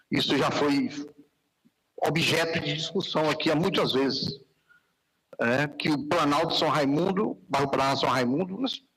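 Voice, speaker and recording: A man speaks fairly slowly with long, frequent pauses, his fairly high voice showing ordinary pitch variation and very even loudness. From Piauí, northeastern Brazil. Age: 60s. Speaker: city councillor. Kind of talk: council session speech. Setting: council chamber, live broadcast.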